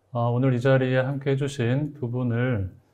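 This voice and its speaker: With a dark, mellow tone and a medium pitch, a man speaks at a moderate pace. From Gyeongbuk, South Korea. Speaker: literary critic and moderator. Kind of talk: moderated literary talk. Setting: studio. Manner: stiff, hesitant with fillers.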